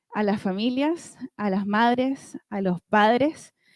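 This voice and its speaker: A dark, mellow tone with lively intonation at a very slow pace, dry and close with no echo. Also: woman. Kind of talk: church conference talk.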